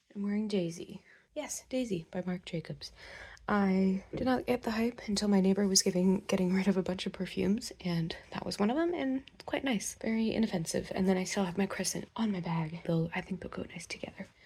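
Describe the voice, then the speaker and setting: A woman's dark, mellow, somewhat breathy voice at medium pitch, with ordinary pitch variation and a fairly quick pace. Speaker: fashion vlogger. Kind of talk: casual vlog chat. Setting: in a car.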